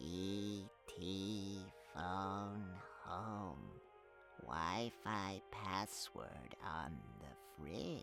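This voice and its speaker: A man's put-on character voice, fairly low in pitch, at a very slow pace with long, frequent pauses and clear music in the background. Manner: slow, halting.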